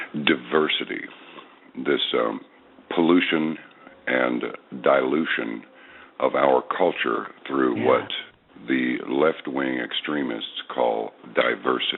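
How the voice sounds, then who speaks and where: Amid noticeable background noise, a man talks at a very slow pace with long, frequent pauses. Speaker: veteran radio host and voice actor. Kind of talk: radio interview answer.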